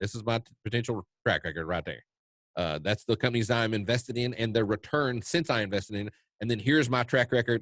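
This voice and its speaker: A man speaks very fast with a Kentucky accent at medium pitch and ordinary pitch variation. The sound is dry and close, with no echo. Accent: Kentucky Southern US. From US South, eastern Kentucky. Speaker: trading educator. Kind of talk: webinar Q&A. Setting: online webinar. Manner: halting, many fillers and repeats.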